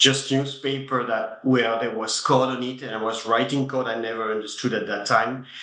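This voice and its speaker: With a French accent and fairly even intonation, a man at medium pitch speaks amid noticeable background noise and audible room echo. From France. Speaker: tech company CEO. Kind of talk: interview. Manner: halting.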